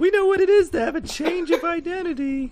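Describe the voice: Extremely high-pitched put-on character voice from a man, delivered at a fairly quick pace.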